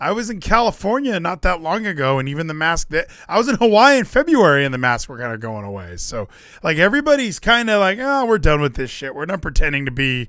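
A man's fairly high voice, bright and sharp in tone, animated, with very wide pitch swings and a fairly quick pace. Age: 30s. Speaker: wrestling podcast host. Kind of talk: casual chat.

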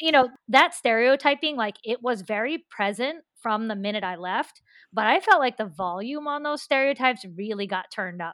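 A normal speaking voice with an American accent, lively intonation and a moderate pace, hardly any pauses, against a quiet background. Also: woman, fairly high pitch for a woman. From US Appalachia (West Virginia). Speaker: author and schoolteacher. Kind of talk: interview.

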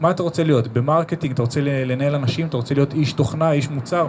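Over noticeable background noise, a man with a fairly high pitch speaks at a very fast pace. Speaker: marketing professional. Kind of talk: live podcast interview with audience. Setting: stage with live audience.

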